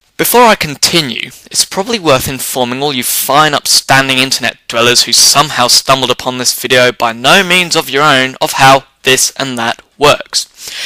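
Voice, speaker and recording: A man with an English accent talks at a moderate pace with hardly any pauses, at medium pitch with ordinary pitch variation. The sound is dry and close, with no echo. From England. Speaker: comedy vlogger. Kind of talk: comedic rant. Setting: home office chair. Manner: whimsical, wordy.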